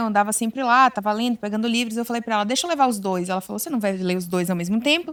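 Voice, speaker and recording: A woman with a Bahian accent, fairly high in pitch, at a very fast pace with ordinary pitch variation. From Bahia, Brazil. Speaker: psychologist. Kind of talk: interview chat.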